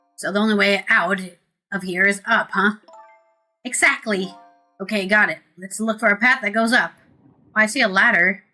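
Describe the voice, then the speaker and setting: The speech moves fairly quickly. Behind it, music is playing. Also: woman. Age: 30s. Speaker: streamer. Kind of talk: casual gameplay commentary with game text read aloud.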